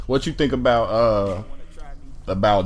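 Audible room echo around a man's voice, its pitch varying in an ordinary way. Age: 30s. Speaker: podcast host. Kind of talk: casual chat. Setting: in person with friends. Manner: casual, with frequent fillers.

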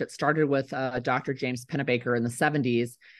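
Someone with an American accent speaks at a moderate pace with fairly even intonation. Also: woman. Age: 50s. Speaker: writer and former state legislator. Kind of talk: interview.

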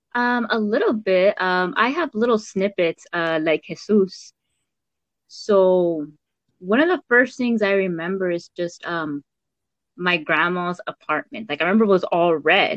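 In an American accent, a woman with a medium pitch and ordinary pitch variation talks at a fairly slow pace in a normal speaking voice. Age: 20s. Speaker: DACA recipient. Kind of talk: casual chat.

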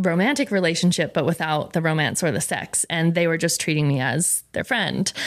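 Here is a woman with an American accent and an ordinary speaking voice. Her pitch is fairly low, with ordinary pitch variation. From Rhode Island, US. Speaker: food content creator. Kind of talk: casual chat. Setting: studio.

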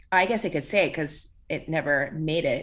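Against a quiet background, a woman with an American accent speaks in a bright, sharp, fairly low voice with fairly even intonation. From Walnut, California, US. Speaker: actor. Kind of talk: casual chat.

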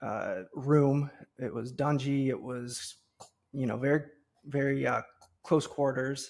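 Flat, monotone intonation from a man at a fairly slow pace. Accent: Midwestern American. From US Midwest, Cincinnati, Ohio. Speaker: entrepreneur and podcast host. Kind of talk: interview.

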